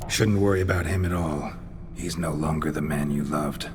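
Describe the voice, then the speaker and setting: Over loud background noise, someone does a put-on character voice at a fairly quick pace. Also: man, very deep, low pitch for a man. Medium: machinima. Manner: terse, gruff.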